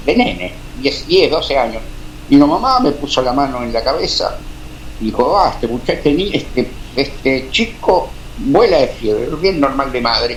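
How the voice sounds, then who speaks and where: There is noticeable background noise and audible room echo, and the talking proceeds at a moderate pace. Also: man. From Argentina, Beccar (Buenos Aires province). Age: 60s. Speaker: amateur radio operator. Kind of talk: interview storytelling. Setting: radio studio, live stream. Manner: halting, many fillers.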